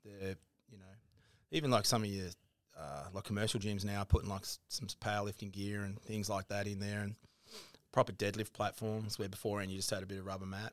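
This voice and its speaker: A fairly low-pitched man with an Australian accent, very fast in pace, with big swings in loudness. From Tasmania, Burnie. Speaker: gym owner. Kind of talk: casual chat.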